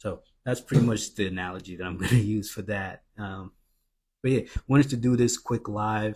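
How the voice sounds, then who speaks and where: Quiet and somewhat breathy, a man speaks at a moderate pace with fairly low pitch and big swings in loudness. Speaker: credit and business funding mentor. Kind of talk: live stream promo talk. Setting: live stream at home. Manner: quiet, low voice; subdued, not animated.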